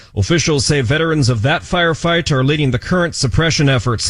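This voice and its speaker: This man's voice sits fairly high and sounds somewhat breathy. He talks at a fairly quick pace. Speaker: radio news reporter. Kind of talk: radio news report.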